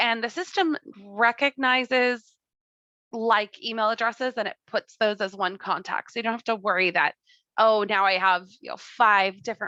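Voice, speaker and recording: Fairly high in pitch, a woman speaks with a bright, sharp tone and ordinary pitch variation, her dry, close sound carrying no echo over a quiet background. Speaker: software trainer. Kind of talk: live tutorial. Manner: enthusiastic; fast.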